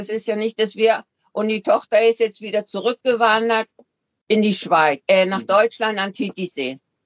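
A woman talks in an ordinary speaking voice at a moderate pace. Her fairly high pitch shows ordinary variation. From Switzerland. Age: 60s. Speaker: retiree living full-time in a motorhome. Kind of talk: interview.

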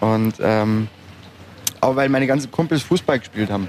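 Moderate pace against noticeable background noise. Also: man. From Upper Bavaria. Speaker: podcast host. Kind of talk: casual interview. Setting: outdoors at a market.

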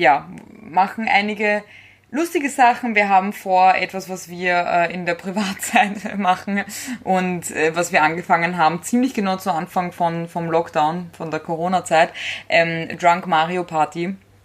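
Fairly slow, fairly even intonation, an ordinary speaking voice. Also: woman. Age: 20s. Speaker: podcast co-host. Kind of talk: casual chat.

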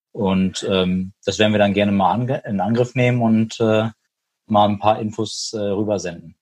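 In an ordinary speaking voice, a man talks at a fairly slow pace with fairly even intonation and a fairly low pitch. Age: 30s. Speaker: hearing aid industry business consultant. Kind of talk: casual interview.

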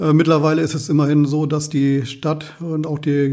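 The voice has a dark, mellow tone, somewhat breathy, with monotone, flat intonation. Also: man. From Lower Saxony, Walsrode. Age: 50s. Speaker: volunteer firefighter. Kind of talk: interview.

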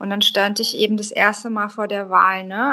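A woman speaks with an unremarkable speaking voice. Her fairly high voice moves at a moderate pace. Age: 30s. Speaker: solo traveller. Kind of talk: interview.

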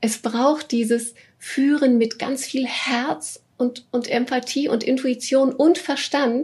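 Fairly even intonation carries words delivered at a very slow pace. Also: woman, high pitch for a woman. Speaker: business coach for female leaders. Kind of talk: interview. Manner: warm and cheerful.

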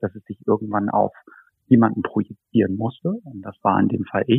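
This is a man with a fairly low pitch and fairly even intonation. He has a plain, everyday voice. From northern Hesse, Germany (near Kassel). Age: 30s. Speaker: photographer and art director. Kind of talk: personal interview, life story. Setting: video call. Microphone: video call audio, lower than studio quality.

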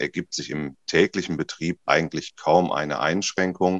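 The sound is close and dry, with no echo at all. A man talks at a moderate pace. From Ruhr area, Germany. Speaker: cruise ship captain. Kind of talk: interview. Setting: video call.

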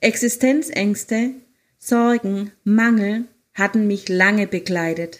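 A woman at a very slow pace and medium pitch, with ordinary pitch variation, in a very clean recording with a silent background. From Germany, Hohenlohe (Baden-Württemberg). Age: 50s. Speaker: life coach and podcaster. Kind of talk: personal testimony, partly read aloud. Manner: read-aloud sounding.

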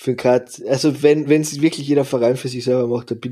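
At medium pitch and a moderate pace, a man speaks in a dark, mellow tone with fairly even intonation. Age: 30s. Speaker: ice hockey podcast host. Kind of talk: casual chat.

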